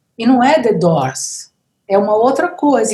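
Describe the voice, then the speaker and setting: A normal speaking voice at a fairly slow pace. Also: woman. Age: 60s. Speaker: musician. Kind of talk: casual chat.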